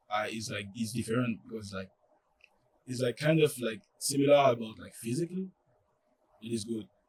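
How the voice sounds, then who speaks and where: At a moderate pace with a French accent, the somewhat breathy speech has long, frequent pauses, big swings in loudness and ordinary pitch variation. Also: man, medium pitch for a man. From France. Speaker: college soccer player. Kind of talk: podcast interview. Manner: halting, many fillers.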